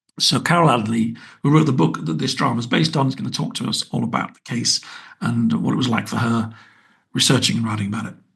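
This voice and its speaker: Vocal fry runs through a man's speech, delivered at a very fast pace. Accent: British. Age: 60s. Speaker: podcast host, writer and TV producer. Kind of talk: podcast outro monologue. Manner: casual, chatty with fillers.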